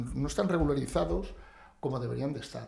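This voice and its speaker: Audible room echo around a man speaking fairly quickly. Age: 60s. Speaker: builder and real estate agent. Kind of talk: podcast interview.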